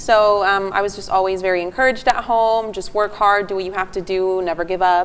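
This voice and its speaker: Using a Spanish accent, a woman speaks at medium pitch and a fairly quick pace, with fairly even intonation and hardly any pauses. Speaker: TV news reporter. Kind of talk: panel discussion.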